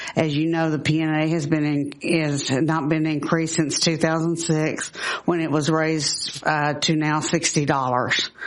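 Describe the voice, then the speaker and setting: A woman speaks at a moderate pace in a very deep, low voice with very even loudness. Her delivery is monotone and flat, with noticeable background noise. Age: 60s. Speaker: nursing home resident testifying. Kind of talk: legislative testimony, partly read from a letter. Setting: legislative committee hearing. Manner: halting, with restarts.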